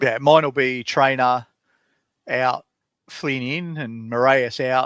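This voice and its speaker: This man talks at a very slow pace, his medium-pitched voice keeping a fairly even intonation. The sound is dry and close with no echo, on a very clean recording with a silent background. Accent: Australian. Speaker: fantasy sports podcast co-host. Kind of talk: casual chat.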